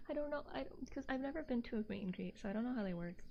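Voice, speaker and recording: A woman's fairly high, somewhat breathy voice with a dark, mellow tone and an American accent. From Texas. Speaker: VTuber streamer. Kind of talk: casual livestream chat. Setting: livestream on camera. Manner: soft-spoken; halting, repeats words.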